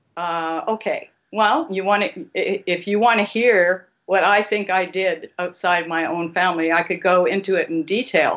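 A woman with an ordinary speaking voice talks at a medium pitch and fairly slow pace, with ordinary pitch variation and hardly any pauses. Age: 60s. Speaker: caller. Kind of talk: heated debate. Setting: phone call.

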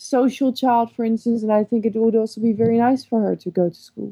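Fairly quick speech with a Dutch accent and monotone, flat intonation, dry and close with no echo, in a very clean recording over a silent background. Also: woman. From Netherlands. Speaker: caller. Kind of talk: advice call.

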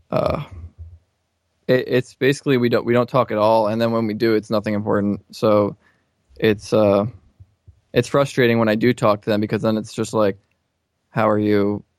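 At a moderate pace with long, frequent pauses, a man with a medium-pitched voice speaks in a dry, close sound with no echo. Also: fairly even intonation. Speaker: caller. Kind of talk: personal advice call.

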